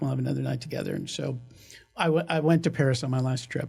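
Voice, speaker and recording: A man with an American accent talking at a very fast pace over music in the background. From Kansas. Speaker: orthodontic practice valuation consultant. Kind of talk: podcast interview storytelling.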